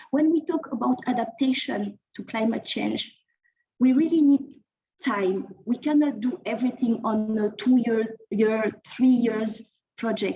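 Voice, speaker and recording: Talking at a fairly slow pace, a woman with a French accent has a fairly high pitch. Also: ordinary pitch variation. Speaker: think tank researcher. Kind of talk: conference presentation. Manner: halting, with frequent repetitions.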